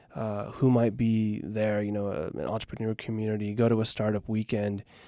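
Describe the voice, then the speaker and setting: In an American accent, a man speaks at a fairly quick pace in a fairly low, dark, mellow voice with monotone, flat intonation. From US Pacific Northwest, Oregon. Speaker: startup co-founder. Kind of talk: interview. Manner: halting.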